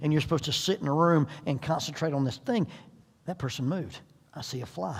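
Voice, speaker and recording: Speaking at a very fast pace, a man with a fairly high pitch sounds somewhat breathy and uses lively intonation. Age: 60s. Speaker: parenting seminar speaker. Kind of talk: seminar talk.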